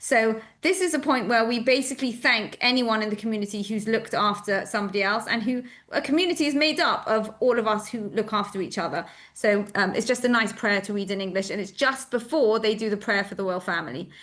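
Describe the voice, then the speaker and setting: A speaker with a British accent talks at a very fast pace, with ordinary pitch variation. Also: woman, fairly high pitch for a woman. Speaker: synagogue educator explaining the service. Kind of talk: explanatory talk to an audience. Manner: casual with many fillers.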